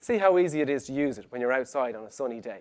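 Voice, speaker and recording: With an Irish accent, a man talks at a very fast pace in an animated tone with lively intonation. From Ireland. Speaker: web conversion specialist, conference speaker. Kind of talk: conference presentation.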